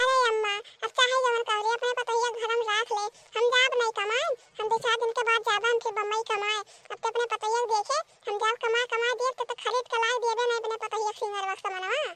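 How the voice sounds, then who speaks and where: Using a put-on character voice, a woman talks at a very fast pace. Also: dry, close sound with no echo. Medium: comedy sketch. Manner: wheedling, placating.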